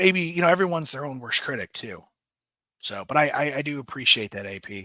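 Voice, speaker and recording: A man with a fairly high pitch talks at a fairly quick pace in a bright, sharp tone with vocal fry. His pitch swings very widely and his loudness shifts a lot. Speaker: true crime podcast host. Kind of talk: live stream chat reading viewer comments. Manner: stammering, hesitant; casual, filler-heavy.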